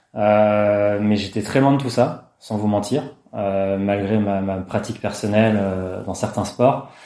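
Amid audible room echo, a man speaks very slowly at a fairly low pitch with fairly even intonation. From rural France. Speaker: sports scientist. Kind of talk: interview.

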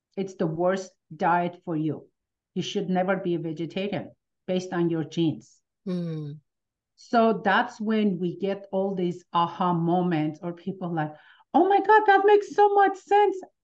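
A woman with an Armenian accent speaks at a medium pitch and moderate pace, with fairly even intonation, against a quiet background. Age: 50s. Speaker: pain relief practitioner. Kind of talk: interview.

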